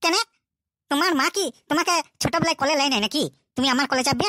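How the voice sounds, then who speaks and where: In a cartoonish character voice, a woman speaks at a high pitch with very even loudness and a dry, close sound with no echo. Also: fairly quick pace, ordinary pitch variation. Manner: brash, commanding.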